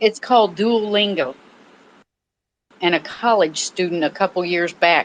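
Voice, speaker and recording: A woman with a Southern US accent at a fairly slow pace, with long, frequent pauses, ordinary pitch variation and a quiet background. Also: medium pitch for a woman. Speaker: audio room participant. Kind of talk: casual chat. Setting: online audio room.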